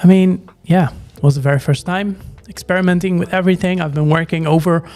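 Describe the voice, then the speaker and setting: Music plays behind a man with a Dutch accent who speaks very fast at a high pitch with fairly even intonation. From Netherlands. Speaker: frontend developer streamer. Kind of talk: live coding stream.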